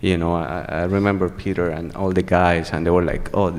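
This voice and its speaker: A man with a very deep, low voice talks at a fairly quick pace with fairly even intonation. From Venezuela. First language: Spanish. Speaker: HIV activist. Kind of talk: testimony. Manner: halting.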